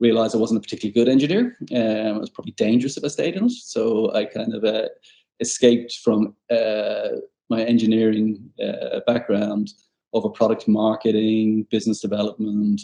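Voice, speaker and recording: A man with an Irish accent, talking at a fairly quick pace. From Ireland, Dublin. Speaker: tech sales executive. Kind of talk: podcast interview. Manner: hesitant, repetitive.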